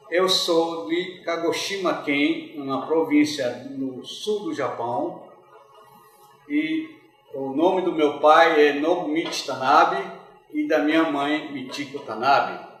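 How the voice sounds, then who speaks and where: Over music in the background and audible room echo, a man with a fairly high pitch talks very slowly with fairly even intonation. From Brazil, Rondônia (Porto Velho), Japanese immigrant family. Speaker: immigrant, oral history interviewee. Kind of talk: oral history testimony. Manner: halting, with repetitions.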